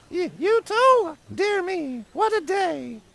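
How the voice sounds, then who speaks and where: A put-on character voice, squeaky and extremely high-pitched, drags along at a very slow pace. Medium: video game. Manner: dry, curt.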